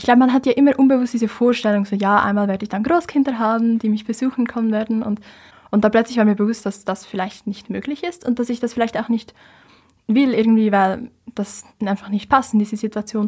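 A woman speaks at a very fast pace in a fairly high, somewhat breathy voice. Her intonation stays fairly even on a very clean recording with a silent background. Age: young (19). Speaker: climate activist. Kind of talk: interview.

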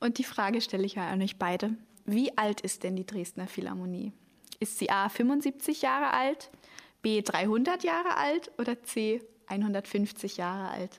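In a plain, everyday voice, a woman speaks fairly slowly with a fairly high pitch and lively intonation. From Germany, Hamburg. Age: young. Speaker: podcast host, cultural volunteer. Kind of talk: casual podcast chat.

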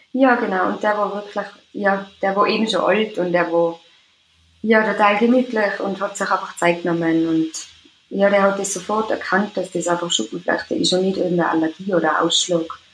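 A woman with an Austrian accent speaks at a moderate pace and medium pitch with ordinary pitch variation, over noticeable background noise. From Austria, Tyrol. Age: 20s. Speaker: care assistant with psoriasis. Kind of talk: interview. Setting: remote call.

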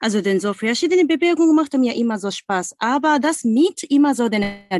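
A high-pitched woman's voice with very wide pitch swings, dry and close with no echo. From Japan, Osaka. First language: Japanese (speaking German). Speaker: singing teacher. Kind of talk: guided exercise; interview. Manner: halting.

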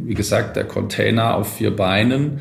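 A man speaks with vocal fry and ordinary pitch variation, and room echo can be heard. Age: 40s. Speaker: logistics company executive. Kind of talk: interview. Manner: formal.

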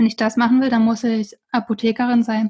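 A dark, mellow tone colors the voice. Its intonation is flat and monotone. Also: woman. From rural Brandenburg, Germany. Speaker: herbal naturopath. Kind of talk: interview.

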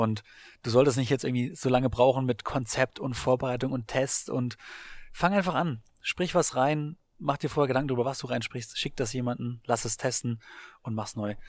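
In an ordinary speaking voice, a man talks at a medium pitch and moderate pace with ordinary pitch variation. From Baden-Württemberg, Germany. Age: 30s. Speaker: sports marketing podcaster and entrepreneur. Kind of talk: interview. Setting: coworking space in Berlin.

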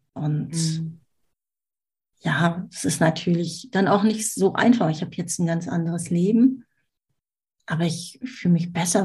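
A woman's dark, mellow, somewhat breathy voice, fairly low in pitch, at a very slow pace. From Germany, Düsseldorf. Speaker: marketing mentor. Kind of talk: casual interview.

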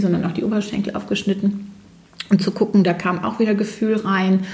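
Over noticeable background noise, a woman speaks at a fairly quick pace with flat, monotone intonation. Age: 40s. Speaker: naturopath and ThetaHealing teacher. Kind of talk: interview.

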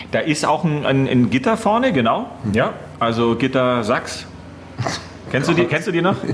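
A man talks with long, frequent pauses, very wide pitch swings and very even loudness over noticeable background noise. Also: fairly high pitch for a man, moderate pace. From Upper Bavaria (Gilching near Munich). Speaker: radio host. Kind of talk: casual chat.

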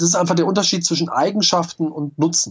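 A man with a high-pitched voice. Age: 30s. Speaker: entrepreneur and online marketing expert. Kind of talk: interview.

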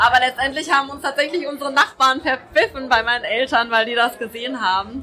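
A woman's high, raised, projected voice at a very fast pace, hardly any pauses, big swings in loudness, over noticeable background noise. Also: ordinary pitch variation. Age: 30s. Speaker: doctor. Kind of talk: casual chat. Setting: live show with audience.

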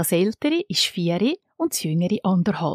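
In a Swiss accent, a woman speaks at a moderate pace with very wide pitch swings, her sound dry and close with no echo against a quiet background. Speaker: podcast host. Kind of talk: scripted narration; interview.

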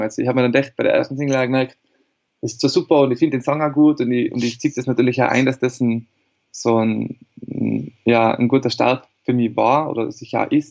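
Using a normal speaking voice, a man talks fairly quickly at a medium pitch with fairly even intonation. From Austria, Tyrol. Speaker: singer-songwriter. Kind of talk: interview.

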